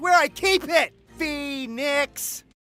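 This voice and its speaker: Music plays in the background behind a cartoonish character voice. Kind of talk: anime dub voice acting. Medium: fan dub. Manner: loud, goofy.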